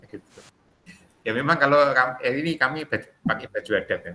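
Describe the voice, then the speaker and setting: Speaking at a very fast pace in a strong Javanese accent, a man uses a fairly high, bright, sharp voice with vocal fry. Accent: thick Javanese (medok). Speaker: teacher trainer, facilitator. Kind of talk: online class discussion.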